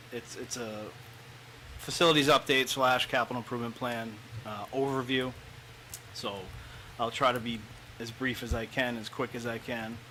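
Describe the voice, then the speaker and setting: A man at a moderate pace, monotone and flat, with long, frequent pauses. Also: medium pitch for a man. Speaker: school facilities director. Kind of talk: presentation.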